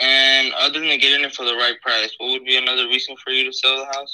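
A man puts on a robotic character voice at a medium pitch. He speaks at a very fast pace. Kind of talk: formal, salesy. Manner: robotic, scripted, flat.

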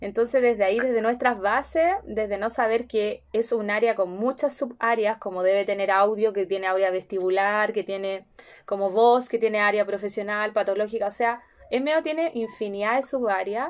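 A woman with a fairly high pitch speaks at a moderate pace with ordinary pitch variation. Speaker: podcast host, speech therapist. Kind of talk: casual interview chat.

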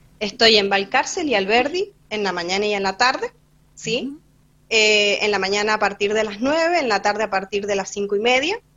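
With ordinary pitch variation and a fairly high pitch, a woman talks at a moderate pace. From Argentina, San Rafael, Mendoza. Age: 20s. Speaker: street vendor. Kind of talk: interview. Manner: halting.

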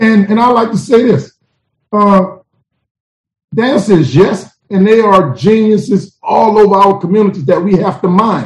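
In an American accent, the speaker sounds animated at a fairly slow pace, with ordinary pitch variation and very even loudness. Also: man, high pitch for a man. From New Orleans, Louisiana. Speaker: motivational speaker and STEM educator. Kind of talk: interview.

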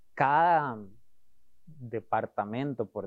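The man's voice stays at medium pitch, and its pitch varies in an ordinary way. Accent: Costa Rican. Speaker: design sprint facilitator. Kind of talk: interview.

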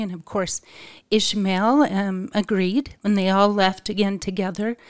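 On a very clean recording with a silent background, a woman with a plain, everyday voice speaks at a moderate pace and medium pitch. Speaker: podcast co-host. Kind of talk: casual religious discussion.

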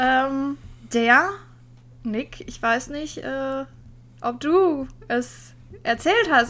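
Using a raised, projected voice, a woman speaks at a high pitch with lively intonation. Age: 30s. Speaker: podcast co-host. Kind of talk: casual chat.

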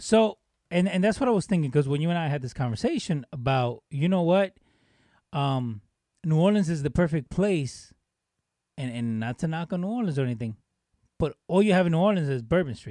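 A man with a fairly high pitch and a dark, mellow tone speaks at a fairly quick pace, with lively intonation and long, frequent pauses. The sound is dry and close with no echo, and the recording is very clean against a silent background. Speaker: podcast co-host. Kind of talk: casual banter.

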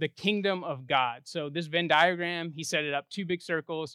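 Moderate pace and fairly even intonation. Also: man. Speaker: preacher. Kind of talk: sermon. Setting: church.

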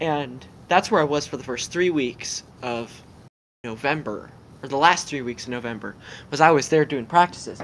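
A man with a plain, everyday voice, fairly high pitch, lively intonation and moderate pace. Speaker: guest interviewee. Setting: video call.

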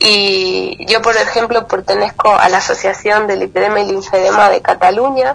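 Noticeable background noise is present in this clip. Over it, a woman talks at a moderate pace. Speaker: lipedema patient and advocate. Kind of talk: interview testimony.

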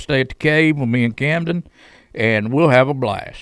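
A man talks at a fairly quick pace in a Southern US accent with ordinary pitch variation. The recording is very clean, with a silent background. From Chattanooga, Tennessee. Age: 50s. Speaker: radio host. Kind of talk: casual interview chat.

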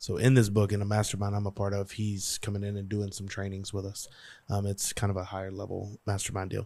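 A man talks at a very fast pace in a Louisiana accent, his fairly low pitch carrying a dark, mellow tone. His intonation is monotone and flat, and the recording is very clean with a silent background. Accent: Louisiana Southern US. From Louisiana, US South. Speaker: motivational speaker and business coach. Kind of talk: casual chat.

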